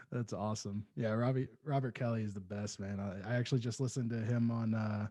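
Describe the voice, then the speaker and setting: Against a quiet background, a man speaks very fast at a medium pitch. His tone is dark and mellow, with fairly even intonation. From small town. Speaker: podcast host. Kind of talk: casual interview chat.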